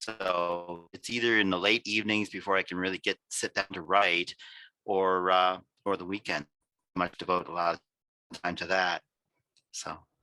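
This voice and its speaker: In a very clean recording with a silent background and a dry, close sound with no echo, a man with a very deep, low pitch speaks at a moderate pace in a monotone, flat intonation, with long, frequent pauses and big swings in loudness. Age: 60s. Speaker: writer and software engineer. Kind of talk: interview. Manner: halting, many fillers.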